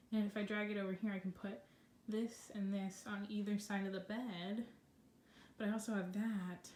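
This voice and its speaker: A woman speaks at a medium pitch, sounding somewhat breathy. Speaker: vlogger. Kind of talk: casual vlog. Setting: at home in bedroom. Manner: fast.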